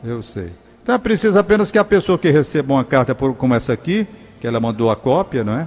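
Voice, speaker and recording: Very wide pitch swings mark a man's speech as he goes at a fairly quick pace. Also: fairly high pitch for a man. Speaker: radio host. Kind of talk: radio call-in show. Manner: fumbling his words today.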